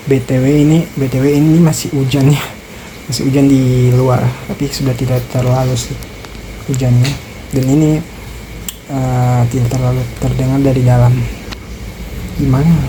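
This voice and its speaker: A quiet woman's very deep, low voice, monotone and flat, at a moderate pace with long, frequent pauses, audible room echo and noticeable background noise. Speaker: vlogger. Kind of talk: casual vlog talk. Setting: lodging room, rain outside. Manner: quiet, keeping voice down.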